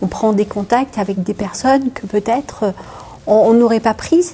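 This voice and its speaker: There is noticeable background noise as a woman speaks with a fairly high pitch. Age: 50s. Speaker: municipal employee, amateur boxer. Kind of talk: interview.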